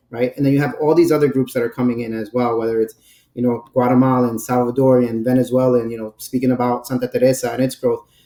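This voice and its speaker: A man with a New York accent talks at a very fast pace in a medium pitch. His tone is dark and mellow, his intonation monotone and flat. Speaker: brand director. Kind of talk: podcast interview.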